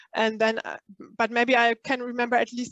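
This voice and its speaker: A woman with a non-native accent speaks at a moderate pace in a fairly high pitch. Her voice sounds dry and close, with no echo. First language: not English. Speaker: spiritual workshop leader. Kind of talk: online workshop talk. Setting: live online workshop. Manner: halting, many fillers.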